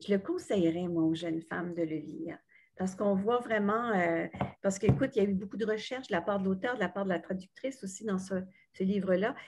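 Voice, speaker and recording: Against a quiet background, a woman talks in a somewhat breathy voice with ordinary pitch variation. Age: 60s. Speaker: retired radio journalist. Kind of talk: book club discussion. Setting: video call. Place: home room. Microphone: webcam.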